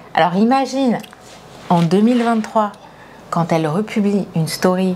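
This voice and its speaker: Noticeable noise in the background beneath speech of ordinary pitch movement. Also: woman, fairly slow pace, very even loudness. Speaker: football journalist and interviewer. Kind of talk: casual interview chat. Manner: animated.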